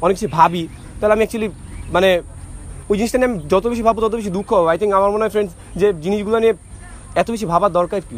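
This man's voice sits high in pitch. The intonation stays fairly level throughout. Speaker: university student. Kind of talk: personal speech to a group. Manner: halting.

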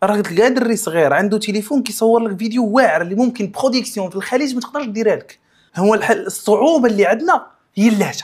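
Talking at a very fast pace, a man speaks with a Moroccan accent. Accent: Moroccan Darija. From Morocco. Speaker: content creator; podcast guest, content creator. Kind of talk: podcast interview; interview answer. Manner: halting, many restarts. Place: studio.

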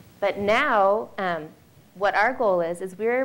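A woman's voice at a medium pitch. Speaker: heart health program director; presenter. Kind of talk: informational presentation. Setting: stage with audience. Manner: light-hearted. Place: hall. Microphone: handheld.

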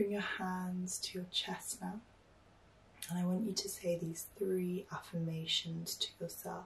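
A woman's somewhat breathy, calm, soothing voice with monotone, flat intonation. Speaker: meditation guide. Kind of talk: guided meditation. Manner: calm, soothing, slow. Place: home room.

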